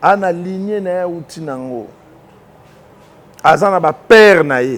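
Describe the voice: A man speaks at a fairly slow pace. His pitch is high. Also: lively intonation.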